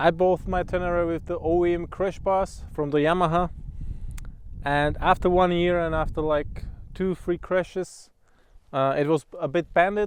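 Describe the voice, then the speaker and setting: Speaking with a Czech accent, a man uses a high pitch and fairly even intonation at a fairly slow pace. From Czech Republic. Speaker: motorcycle vlogger. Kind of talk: product walkthrough. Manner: halting.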